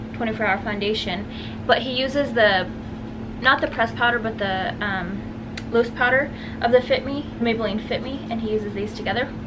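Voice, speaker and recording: A woman talks at a moderate pace. Noticeable background noise runs behind her. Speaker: beauty vlogger. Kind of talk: tutorial. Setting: at home, in a converted garage room. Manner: casual, chatty. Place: home room. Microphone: phone near.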